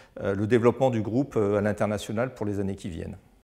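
A dark, mellow tone marks this man's voice. His pitch moves in a fairly even line. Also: quiet background. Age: 40s. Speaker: IT director. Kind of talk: testimony. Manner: halting, many repeated words. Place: office. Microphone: lapel.

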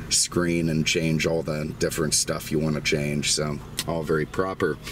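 A man with a very deep, low voice talks at a moderate pace, the sound dry with no echo and light background noise behind him. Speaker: car dealer reviewer. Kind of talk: car review walkaround commentary. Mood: relaxed, jokey. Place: car. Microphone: phone near.

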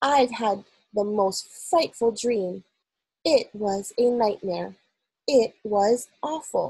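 Only a quiet background accompanies an unforced reading voice.

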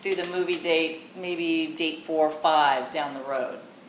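A woman with an American accent talks at a fairly low pitch. Audible room echo and light background noise surround her. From Southern California. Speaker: matchmaker. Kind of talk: interview answer. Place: home room.

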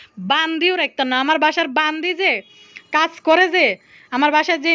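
A woman with a Bangladeshi accent speaks in a raised, projected voice. Her pitch is high, with ordinary variation. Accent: regional Bangladeshi dialect. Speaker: YouTube vlogger. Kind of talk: angry rant vlog.

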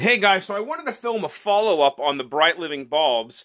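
The background is quiet. A man speaks at a moderate pace with lively intonation and a bright, sharp tone. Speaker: product reviewer. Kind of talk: casual product demo. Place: home room. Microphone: phone near.

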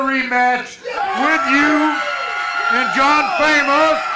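A man's raised, projected voice, extremely high-pitched and very slow, with crowd noise in the background. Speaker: wrestling commentator. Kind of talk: live wrestling commentary. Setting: wrestling arena with ring. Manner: casual, folksy banter. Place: hall. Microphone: handheld.

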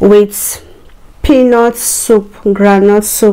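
A woman is speaking. Her intonation is monotone and flat. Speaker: mukbang video creator. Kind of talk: fervent prayer before eating, a mealtime blessing. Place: home room.

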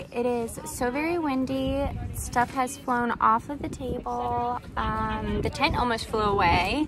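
A woman at a fairly slow pace, dry sound with no echo, noticeable background noise behind her. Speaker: crochet vendor vlogger. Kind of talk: casual vlog chat. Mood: worried but upbeat, laughing. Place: market. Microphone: phone near.

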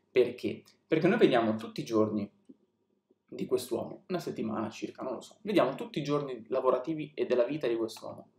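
A somewhat breathy man at a medium pitch, with lively intonation, a fairly quick pace and big swings in loudness, amid audible room echo. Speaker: film reviewer on a video channel. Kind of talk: casual monologue film review. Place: home room.

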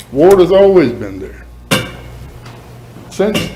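Someone with a Southern US accent speaks at a moderate pace amid noticeable background noise and audible room echo. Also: man. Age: 70s. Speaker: resident speaking at public hearing. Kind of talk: public comment at council meeting. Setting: city council chamber.

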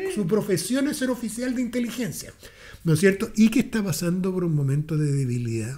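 The voice moves at a fairly quick pace with very wide pitch swings. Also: man, high pitch for a man. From Chile. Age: 60s. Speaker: political commentator. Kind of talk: casual chat. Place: meeting room. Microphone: studio mic.

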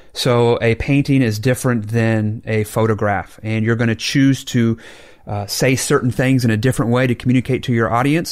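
An ordinary speaking voice from a man with an American accent, medium pitch, fairly even intonation and a moderate pace. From Oklahoma, US. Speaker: Baptist pastor. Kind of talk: casual debate conversation. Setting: studio.

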